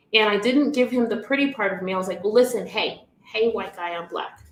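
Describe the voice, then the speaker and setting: A loud, animated woman with an American accent, talking at a fairly quick pace with ordinary pitch variation. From Miami, Florida. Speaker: business coach. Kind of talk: livestream talk to audience.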